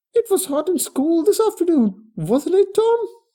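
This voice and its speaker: At a moderate pace, someone uses a put-on character voice that is squeaky and extremely high in pitch. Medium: read story. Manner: scolding.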